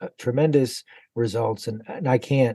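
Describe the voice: A man's medium-pitched, slightly mellow voice at a moderate pace.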